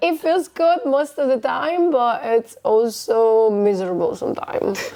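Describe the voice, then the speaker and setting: Her dark, mellow voice sits high for a woman, and this woman speaks at a fairly slow pace with very wide pitch swings and very even loudness. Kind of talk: podcast interview.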